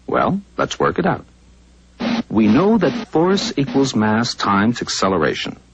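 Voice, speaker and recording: Somewhat breathy, a man speaks at a fairly slow pace and a medium pitch, with very wide pitch swings. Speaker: narrator. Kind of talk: educational narration.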